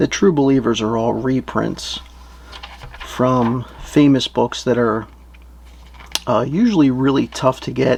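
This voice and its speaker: Noticeable background noise sits behind a man speaking at a fairly slow pace. His intonation is fairly even, with long, frequent pauses. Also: medium pitch for a man. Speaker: professional wrestler and comic book seller. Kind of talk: ASMR-style product narration, casual talk to camera. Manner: quiet, relaxed, reserved, soft-spoken.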